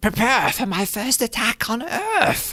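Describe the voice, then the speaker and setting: Put on as a character voice, this fairly high-pitched delivery sounds guttural and strained and moves at a fairly slow pace. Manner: villainous, menacing.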